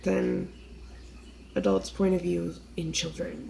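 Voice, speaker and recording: A woman with an American accent. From US East Coast. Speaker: vlogger. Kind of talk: casual monologue. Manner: rambling, hesitant.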